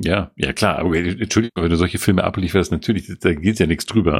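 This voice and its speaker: Speaking very fast, a man with a very deep, low voice shows vocal fry. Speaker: podcast co-host. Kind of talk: casual chat.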